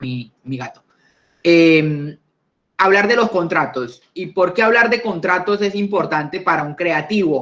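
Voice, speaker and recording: His pitch is high for a man, and his intonation is lively. He talks at a fairly slow pace. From Colombia. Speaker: lawyer, intellectual property lecturer. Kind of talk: online talk / conversational lecture. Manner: hesitant, frequent fillers and repetitions.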